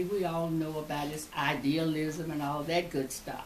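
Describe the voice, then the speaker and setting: A woman with a very deep, low pitch speaks at a moderate pace with fairly even intonation. There is audible room echo and noticeable background noise. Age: 90s. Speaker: retired education professor. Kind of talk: interview.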